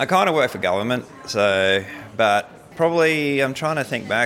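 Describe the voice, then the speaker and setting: A man speaks with an Australian accent at a moderate pace, his medium pitch carrying lively intonation. Noticeable background noise runs underneath. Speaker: skeptic convention attendee. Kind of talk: interview. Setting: at a convention.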